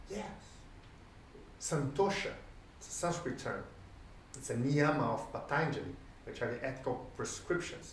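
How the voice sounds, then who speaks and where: Amid noticeable background noise and audible room echo, a man with a fairly high pitch and ordinary pitch variation speaks at a moderate pace, his loudness swinging a lot and his long pauses coming often. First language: Portuguese. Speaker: sports coach and lecturer. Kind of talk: lecture. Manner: halting.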